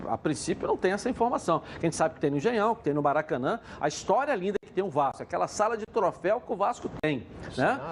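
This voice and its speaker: This man talks very fast at a high pitch, his pitch swinging very widely. His loudness rises and falls sharply. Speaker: football pundit. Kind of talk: studio panel debate.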